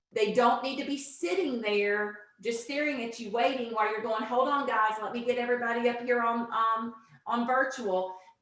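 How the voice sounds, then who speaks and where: Her intonation fairly even, a woman speaks at a fairly high pitch with audible room echo. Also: moderate pace. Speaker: teacher trainer / instructional coach. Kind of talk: online teacher training presentation. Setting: video conference, same room as co-presenter. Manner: loud.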